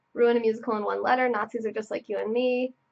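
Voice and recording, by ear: With vocal fry, a woman speaks at a fast pace in a fairly high pitch and fairly even intonation.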